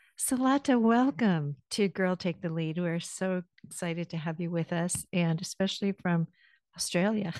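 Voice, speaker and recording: A woman talks in an ordinary speaking voice, fairly low in pitch with ordinary pitch variation, at a moderate pace against a quiet background. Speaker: podcast host. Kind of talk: interview.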